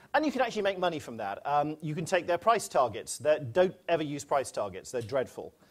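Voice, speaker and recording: Speaking at a fairly quick pace with hardly any pauses, a man with a British accent has a fairly high pitch, vocal fry, and very wide pitch swings. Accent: British accent, noted by himself. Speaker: quantitative research head at a bank. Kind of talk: conference presentation.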